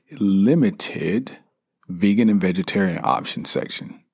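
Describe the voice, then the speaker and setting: A man speaks with a Southern US accent. His pitch is fairly low and his intonation lively. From US South, South Carolina. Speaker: podcast host. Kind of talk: casual monologue.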